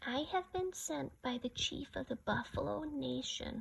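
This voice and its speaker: A woman performs a put-on character voice at a high pitch. Her pace is moderate. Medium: read story.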